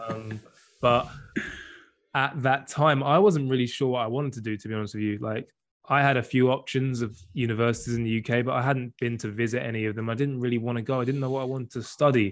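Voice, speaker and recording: Talking at a very fast pace, a man with an English accent keeps a medium pitch and fairly even intonation. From southern England. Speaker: semi-professional footballer. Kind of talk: casual interview chat.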